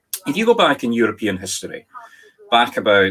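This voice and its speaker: With a Scottish accent, a man speaks at a moderate pace. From Scotland. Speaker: spirit medium. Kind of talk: talk to online audience.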